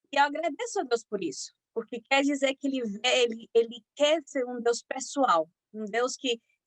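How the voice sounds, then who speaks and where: Speaking at a moderate pace with lively intonation, a woman with a Spanish accent is heard in a dry, close sound with no echo. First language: Spanish (speaking Portuguese). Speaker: physician giving a health talk. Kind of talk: lecture. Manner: halting, many fillers.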